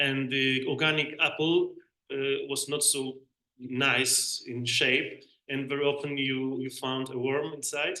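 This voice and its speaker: A man with a Polish accent speaks fairly slowly at a fairly high pitch, his bright, sharp tone held in monotone, flat intonation. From Poland. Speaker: bee researcher, panelist. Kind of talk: panel debate. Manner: halting.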